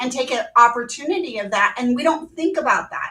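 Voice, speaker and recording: A raised, projected voice with ordinary pitch variation carries over noticeable background noise. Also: woman. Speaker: automotive dealership consultant. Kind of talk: panel discussion.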